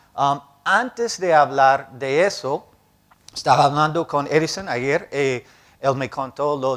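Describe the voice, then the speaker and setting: A man with a non-native accent speaks at a medium pitch. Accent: foreign accent in Spanish, learned in Cali. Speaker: professor, bioinformatics program director. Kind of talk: lecture. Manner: halting, with filler sounds.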